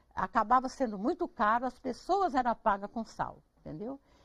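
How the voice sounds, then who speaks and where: Very wide pitch swings mark this woman's voice. Her pace is moderate. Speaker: farm owner and traditional cook. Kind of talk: interview. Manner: animated.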